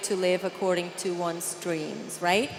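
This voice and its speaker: Audible room echo and noticeable background noise behind a female voice. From Canada. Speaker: event hostess. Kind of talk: live event hosting. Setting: stage with audience. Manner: animated.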